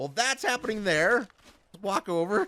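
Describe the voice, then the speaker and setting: The man's tone is animated. He keeps a moderate pace. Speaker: gaming YouTuber. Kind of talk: gameplay commentary.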